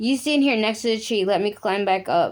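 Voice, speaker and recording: A woman's put-on character voice, raspy and fairly high-pitched, at a moderate pace with very even loudness. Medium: read story. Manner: gentle, kind.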